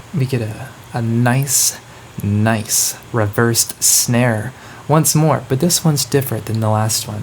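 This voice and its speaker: A quiet man speaking at a fairly slow pace, over light background noise. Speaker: musician and producer explaining own song. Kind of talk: casual tutorial breakdown. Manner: lowered voice, a bit quieter. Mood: relaxed, playful. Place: home room.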